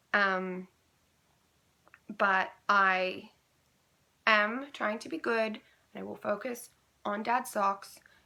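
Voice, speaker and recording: A quiet voice with a bright, sharp tone at a very slow pace, in a very clean recording with a silent background. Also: woman, medium pitch for a woman, ordinary pitch variation, big swings in loudness. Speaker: knitting podcaster. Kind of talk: casual podcast monologue. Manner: hesitant, many ums.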